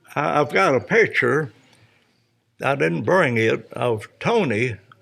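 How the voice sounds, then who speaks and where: In a Tennessee accent, a man speaks at a very slow pace with vocal fry. His medium pitch moves in very wide swings. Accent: US Southern, Tennessee. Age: 80s+. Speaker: retired race car driver. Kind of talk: interview. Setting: podcast recording at a vineyard.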